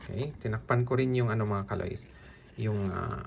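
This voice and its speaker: A man's voice moves at a moderate pace with ordinary pitch variation, and noticeable background noise runs throughout. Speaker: political vlogger. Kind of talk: casual vlog rant.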